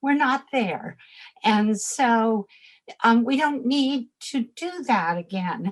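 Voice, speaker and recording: Somewhat breathy, a woman speaks at a fairly high pitch with lively intonation. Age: 70s. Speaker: fashion expert and personal shopper. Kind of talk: interview. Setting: podcast. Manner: hesitant, with fillers.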